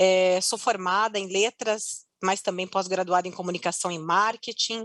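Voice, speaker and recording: A woman with a strong Curitiba accent, at a fairly slow pace, against a quiet background. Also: medium pitch for a woman, fairly even intonation. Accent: strong Paraná (Curitiba). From Curitiba, Paraná, southern Brazil. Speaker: customer success executive. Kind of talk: conference panel talk.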